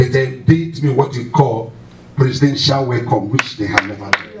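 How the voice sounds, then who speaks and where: A man speaks over loud background noise. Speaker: pastor. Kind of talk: sermon. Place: church.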